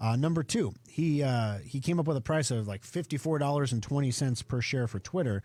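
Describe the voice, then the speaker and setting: In a very clean recording with a silent background, a man speaks at a moderate pace with lively intonation. His medium-pitched voice is somewhat breathy, with a dark, mellow tone. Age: 40s. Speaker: radio show host and computer company owner. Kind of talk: radio tech talk show. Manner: casual, conversational with fillers.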